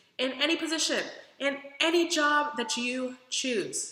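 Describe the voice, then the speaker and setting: In an American accent, a woman projects a raised voice with an animated tone, amid audible room echo and noticeable background noise. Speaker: vlogger. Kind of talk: casual vlog.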